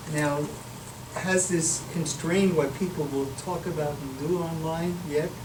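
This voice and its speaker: Over noticeable background noise and audible room echo, a man speaks at a fairly high pitch with ordinary pitch variation. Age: 70s. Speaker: professor. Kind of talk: Q&A after a lecture.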